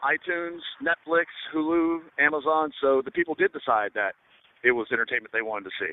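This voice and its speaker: Very fast speech from a man. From US South. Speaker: film director. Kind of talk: interview. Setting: radio show. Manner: halting, many fillers.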